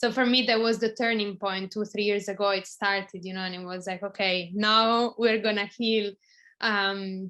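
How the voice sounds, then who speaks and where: Over a quiet background, a woman with an Italian accent speaks at a medium pitch with fairly even intonation. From Italy. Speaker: video podcast co-host. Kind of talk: casual conversation.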